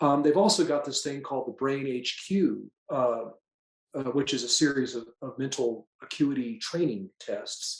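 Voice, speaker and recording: Using an unremarkable speaking voice, a man talks at a fairly slow pace with a fairly high pitch and ordinary pitch variation. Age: 60s. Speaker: patient sharing testimonial. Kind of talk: testimony. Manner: casual with frequent fillers.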